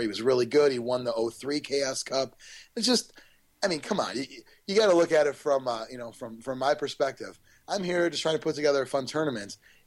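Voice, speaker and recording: The pace here is fairly quick, with ordinary pitch variation. It is a plain, everyday voice. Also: man. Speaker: tournament organizer guest. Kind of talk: casual interview.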